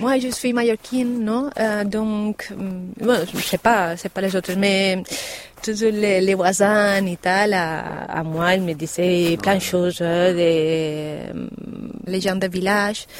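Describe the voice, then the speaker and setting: A woman's medium-pitched voice, very slow, with ordinary pitch variation and noticeable background noise. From Mallorca, Spain. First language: Spanish or Catalan (speaking French). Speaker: parent. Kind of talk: interview testimony. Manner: halting.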